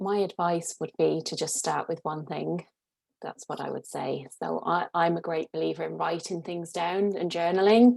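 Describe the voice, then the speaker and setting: A woman speaks at a moderate pace. She has an Irish accent. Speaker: career coach. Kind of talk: casual chat.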